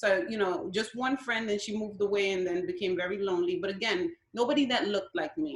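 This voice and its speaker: With a New York accent, a woman rattles off her words at a very fast pace with lively intonation and hardly any pauses. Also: medium pitch for a woman. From Brooklyn, New York (Williamsburg), Guatemalan parents. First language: Spanish. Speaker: school principal. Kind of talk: interview.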